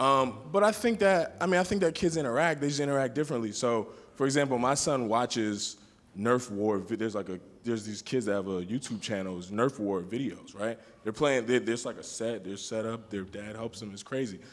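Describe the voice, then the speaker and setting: At a fairly quick pace, a man with a medium pitch speaks in an unremarkable speaking voice. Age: 20s. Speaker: community forum participant. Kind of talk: group discussion.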